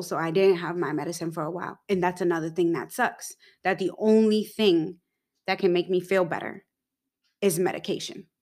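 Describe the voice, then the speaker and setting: In a very clean recording with a silent background, a woman speaks in a monotone, flat intonation. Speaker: podcast co-host. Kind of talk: casual chat.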